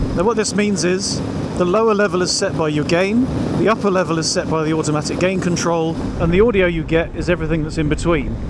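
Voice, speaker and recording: Speaking very fast with a British accent, a man with a fairly high pitch is heard amid audible room echo and noticeable background noise. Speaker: motorcycle vlogger. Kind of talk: product review. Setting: riding a motorcycle outdoors. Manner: shouting at times; quiet speech during tests.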